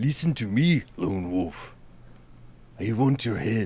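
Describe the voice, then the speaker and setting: This is a put-on character voice. It goes at a fairly slow pace. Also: man, medium pitch for a man. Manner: menacing.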